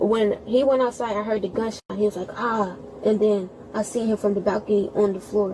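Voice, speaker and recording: Noticeable background noise runs behind a woman talking at a fairly quick pace and fairly high pitch. Her intonation is monotone and flat. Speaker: witness, sibling of shooting victim. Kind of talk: police witness statement. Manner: fast.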